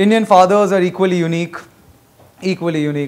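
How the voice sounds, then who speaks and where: A man talking at a very fast pace. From Bengal, India. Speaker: stand-up comedian. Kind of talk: stand-up. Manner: animated. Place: stage. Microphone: handheld.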